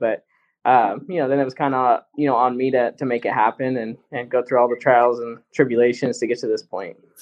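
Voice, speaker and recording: A man with an ordinary speaking voice talks at a fairly quick pace in a medium pitch, keeping his intonation fairly even. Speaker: racing driver. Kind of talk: casual interview.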